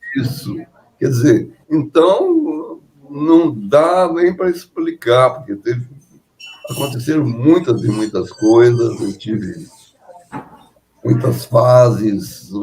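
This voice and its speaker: A man at a very slow pace, with lively intonation and long, frequent pauses. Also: medium pitch for a man. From Brazil, Juiz de Fora (Minas Gerais). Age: 90s. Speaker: composer and pianist. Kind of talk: interview. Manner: halting.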